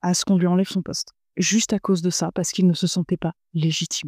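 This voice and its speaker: On a very clean recording with a silent background and a dry, close sound with no echo, a woman speaks at a medium pitch. Her tone is dark and mellow, her pace fairly quick. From France. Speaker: podcast host, entrepreneur. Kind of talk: casual monologue podcast. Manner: animated.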